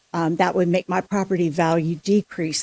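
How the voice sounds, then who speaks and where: A woman's fairly low voice, an ordinary speaking voice, at a fairly quick pace with fairly even intonation, the sound dry and close with no echo. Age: 60s. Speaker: resident speaking at public comment. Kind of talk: public comment at city council meeting. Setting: city council chamber.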